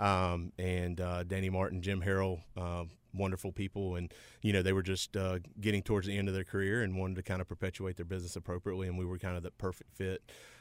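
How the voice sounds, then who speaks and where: In a western North Carolina accent, a man with a very deep, low pitch talks at a very fast pace in a monotone, flat intonation, on a very clean recording with a silent background. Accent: US South, western North Carolina. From western North Carolina, Rutherford County. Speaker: insurance company president. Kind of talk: interview. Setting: radio studio.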